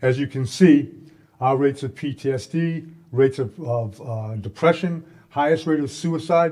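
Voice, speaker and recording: A man speaks at a moderate pace with a dark, mellow tone and a somewhat breathy quality. His voice is fairly high-pitched, with ordinary pitch variation. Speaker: corrections advocate, former correctional officer. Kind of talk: conference talk. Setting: stage with audience.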